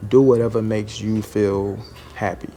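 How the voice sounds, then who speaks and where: Music plays in the background. A man speaks in a fairly low voice with fairly even intonation. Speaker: food service truck driver, vlogger. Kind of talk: casual vlog monologue. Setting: at a delivery stop near a lobby.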